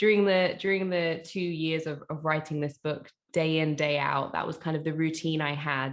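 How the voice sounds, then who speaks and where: The speaker talks at a moderate pace. The background is quiet. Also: woman. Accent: London. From East London. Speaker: author, spoken word poet and teacher. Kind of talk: interview answer.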